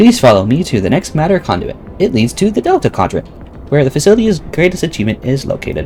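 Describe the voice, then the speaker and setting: A man's put-on, robotic character voice, fairly high in pitch and very fast, with clear background noise. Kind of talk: formal announcement. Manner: robotic, mechanical.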